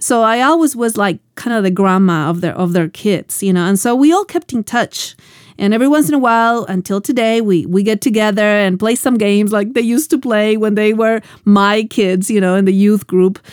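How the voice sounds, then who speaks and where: Using an ordinary speaking voice, a woman talks at a fairly quick pace in a fairly high pitch, with ordinary pitch variation and very even loudness. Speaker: Bible teacher and show host. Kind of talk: sermon-style Bible teaching.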